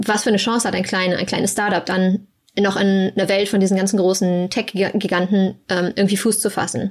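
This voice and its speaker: Speaking at a moderate pace, a woman uses a normal speaking voice of medium pitch with fairly even intonation. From Germany. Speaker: research scientist. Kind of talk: casual interview.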